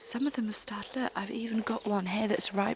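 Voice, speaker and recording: Noticeable background noise sits behind a soft-spoken woman with a fairly high pitch. She talks at a fairly quick pace with fairly even intonation. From UK. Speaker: homemaking vlogger. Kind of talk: casual vlog narration. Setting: outdoors in garden.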